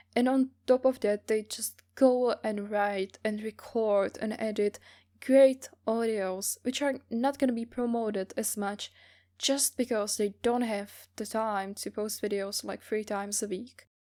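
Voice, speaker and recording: A woman with a Czech accent, a dark, mellow tone and fairly high pitch, at a fairly slow pace with fairly even intonation, in a very clean recording with a silent background. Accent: non-native English, Czech. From Czech Republic, small village. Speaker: voice actor. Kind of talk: interview answers, casual.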